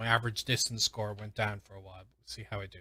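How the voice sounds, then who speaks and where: A man with an Irish accent and a bright, sharp tone, in a very clean recording with a silent background. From Ireland. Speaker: gaming streamer and language learner. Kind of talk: live stream commentary while gaming. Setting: live stream. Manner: casual, with frequent fillers.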